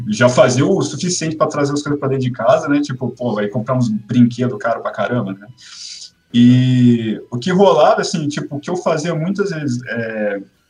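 Lively intonation colors an ordinary speaking voice that keeps a moderate pace. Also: man, medium pitch for a man. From Brazil, Campinas. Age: 30s. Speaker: illustrator and comic artist. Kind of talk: casual interview chat.

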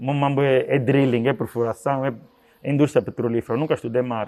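At a moderate pace, a man speaks in a medium-pitched voice with an Angolan accent. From Angola, Luanda. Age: 30s. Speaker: event promoter. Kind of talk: interview.

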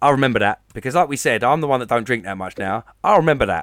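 Speaking at a fairly quick pace, a man talks in an Essex accent. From Essex, England. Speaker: podcast co-host. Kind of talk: casual chat.

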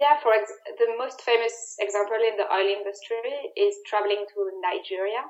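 In a French accent, the speaker holds a fairly even intonation. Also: woman, fairly high pitch for a woman, moderate pace. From France. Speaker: security risk analyst. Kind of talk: interview.

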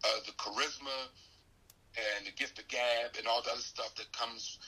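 A man is speaking. His pace is moderate. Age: 50s. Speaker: comedian and magician. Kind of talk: casual chat.

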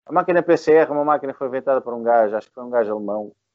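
His pitch variation is ordinary. This man's speech runs at a very fast pace. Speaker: podcast co-host and rock musician. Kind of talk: casual chat. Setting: bar terrace.

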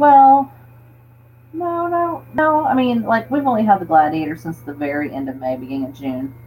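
A woman with an American accent speaks at a fairly low pitch with very wide pitch swings. Noticeable background noise runs behind her. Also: moderate pace. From Florida panhandle. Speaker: overlanding enthusiast. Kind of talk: casual chat.

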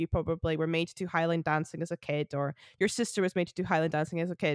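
A woman with a Scottish accent and a fairly low voice talks fairly quickly, with a dry, close sound and no echo. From Scotland. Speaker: folk musician. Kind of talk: casual interview chat.

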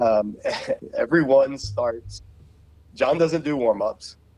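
On a very clean recording with a silent background, a man with an American accent uses an ordinary speaking voice at a moderate pace with fairly even intonation. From US South, Savannah, Georgia. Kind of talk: interview.

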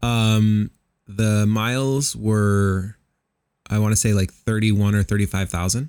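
This man has an unremarkable speaking voice, fairly low in pitch, at a fairly slow pace. His intonation is fairly even, his loudness very even, and the sound is dry and close with no echo. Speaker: podcast co-host. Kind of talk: casual chat.

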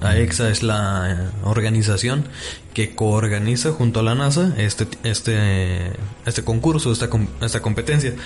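A man speaks with a Mexican accent at a medium pitch, using ordinary pitch variation and very even loudness. His pace is fairly slow, and background noise is noticeable. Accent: Mexican Spanish (Jalisco). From Mexico, Guadalajara (Jalisco). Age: 20s. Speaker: nanotechnology student. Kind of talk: casual interview.

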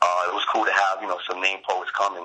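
A man with a New York accent, a very deep, low pitch, monotone, flat intonation and a fairly quick pace. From Brooklyn, New York. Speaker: poet. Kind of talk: interview. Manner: halting, many fillers.

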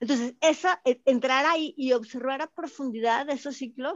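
In a quiet background with a dry, close sound and no echo, a woman speaks at a moderate pace with ordinary pitch variation. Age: 50s. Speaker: spiritual teacher. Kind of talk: interview.

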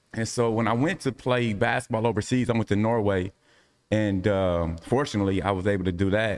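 A man's fairly low, fairly quick American-accented speech in an ordinary speaking voice, with ordinary pitch variation and very even loudness, on a very clean recording with a silent background. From US Midwest, Indianapolis. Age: 40s. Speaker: Pilates instructor, ex-basketball player. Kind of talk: round-table discussion.

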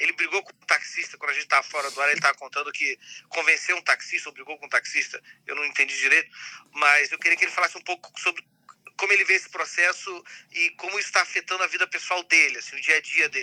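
Dry and close with no echo, a man's high-pitched voice has a bright, sharp tone, fairly even intonation and a very fast pace. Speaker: podcast co-host. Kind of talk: casual interview chat. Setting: remote call.

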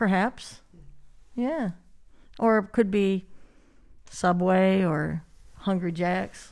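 On a very clean recording with a silent background, a woman with an American accent speaks very slowly at a medium pitch with ordinary pitch variation and long, frequent pauses. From Michigan, US. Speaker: business manager, songwriter. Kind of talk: casual interview. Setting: studio.

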